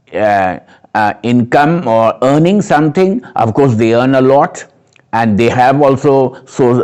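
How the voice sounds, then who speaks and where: This man talks at a fairly slow pace in a Nepali accent, his pitch medium. His intonation is lively and his loudness very even. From Kolkata, West Bengal, India. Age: 60s. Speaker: Buddhist community member. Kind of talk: interview.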